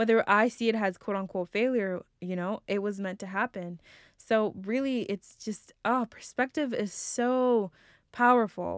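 With an unremarkable speaking voice, a woman talks fairly slowly at a fairly high pitch with ordinary pitch variation, in a dry, close sound with no echo on a very clean recording with a silent background. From immigrant to the US at age nine. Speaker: podcast host. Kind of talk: personal reflective monologue.

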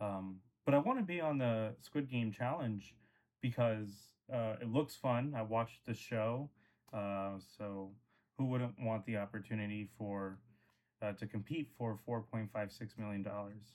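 At a fairly slow pace, a man with a plain, everyday voice speaks at a medium pitch with ordinary pitch variation. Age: 20s. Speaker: podcast co-host. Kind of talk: audition tape; casual chat.

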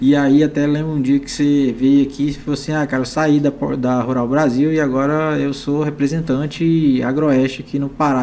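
Amid noticeable background noise, a man speaks at a moderate pace in a fairly high pitch with monotone, flat intonation. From Minas Gerais, Triângulo Mineiro. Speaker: agribusiness podcast host. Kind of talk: casual interview chat. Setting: studio.

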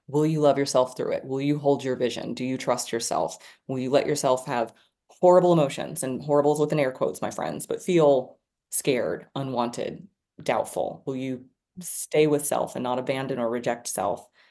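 With an American accent, a woman speaks at a moderate pace in a very deep, low voice with a dark, mellow tone and ordinary pitch variation, over a quiet background. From Texas. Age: 40s. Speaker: podcast host. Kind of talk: casual chat.

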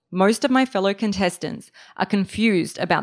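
A woman with an Australian accent speaks at a fairly quick pace on a very clean recording with a silent background. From Australia (Melbourne), born in Serbia. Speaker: writer. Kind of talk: reading aloud. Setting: stage with audience.

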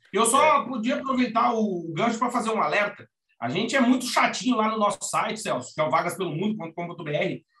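Raising and projecting his high-pitched voice, a man speaks at a fairly quick pace with lively intonation. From Brazil, Rio Grande do Sul (Alegrete). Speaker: advertising professional, emigration website co-founder. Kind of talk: casual interview.

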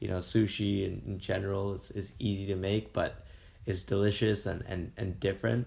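With a Canadian accent, a man talks at a moderate pace in a fairly low voice with vocal fry and fairly even intonation. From Kingston, Ontario, Canada. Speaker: food blogger. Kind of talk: casual interview. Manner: filler-heavy, hesitant.

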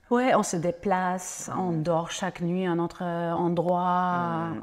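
This woman has a German accent and a fairly low pitch. She talks at a fairly slow pace on a very clean recording with a silent background. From Germany, Franconia (northern Bavaria). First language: German (speaking French). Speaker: ecotourism entrepreneur. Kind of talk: interview conversation. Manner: halting, with repetitions.

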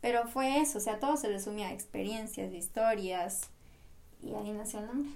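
A woman with an ordinary speaking voice talks at a moderate pace, fairly high in pitch with ordinary pitch variation. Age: 20s. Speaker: podcast co-host, architecture student. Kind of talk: casual chat.

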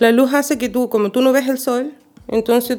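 A woman with a Chilean accent talks at a moderate pace in a fairly high pitch. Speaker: podcast co-host. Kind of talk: casual chat.

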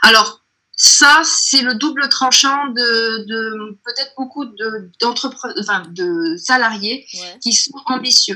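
A very slow, fairly high-pitched woman's voice with big swings in loudness. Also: ordinary pitch variation. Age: 30s. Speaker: entrepreneur. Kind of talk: interview. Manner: halting.

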